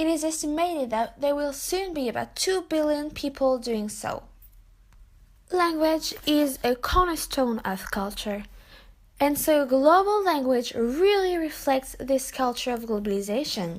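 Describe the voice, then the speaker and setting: A woman with a French accent speaks at a fairly slow pace in a high voice that makes very wide pitch swings. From France. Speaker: international student. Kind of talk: student presentation.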